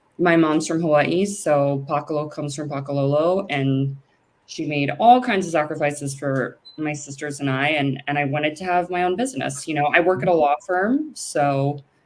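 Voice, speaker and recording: With a very deep, low voice, a woman speaks at a moderate pace using ordinary pitch variation. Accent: Californian. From US West Coast, San Francisco Bay Area. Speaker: lawyer and cannabis business founder. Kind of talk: interview.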